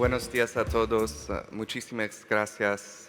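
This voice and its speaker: With a non-native accent, a man speaks in fairly even intonation. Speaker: lawyer, panel moderator. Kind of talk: panel moderation. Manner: halting.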